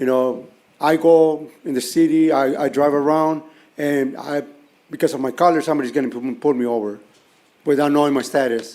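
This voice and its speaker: The tone is dark and mellow, delivered at a fairly quick pace with fairly even intonation. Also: man, fairly high pitch for a man. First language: Mixteco. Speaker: public commenter, nonprofit executive director. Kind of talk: public comment at council meeting. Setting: city council chambers. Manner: halting, many repetitions and fillers.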